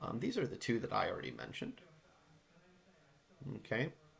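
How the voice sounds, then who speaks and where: A man whispers at a moderate pace. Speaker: math teacher. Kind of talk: tutorial. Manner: whispering.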